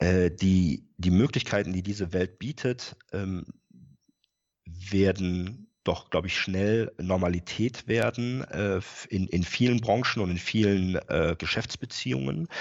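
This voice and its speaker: At a very slow pace, a man with a very deep, low pitch speaks with ordinary pitch variation. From Rhineland, Germany. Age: 40s. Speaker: company IT and controlling manager. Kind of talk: interview. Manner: frequent filler sounds.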